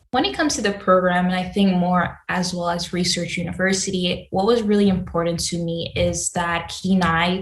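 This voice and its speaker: The woman talks at a moderate pace with fairly low pitch. Her intonation is monotone and flat, and there is audible room echo. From Sint Maarten, Caribbean. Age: 20s. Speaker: master's student. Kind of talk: recorded student testimonial.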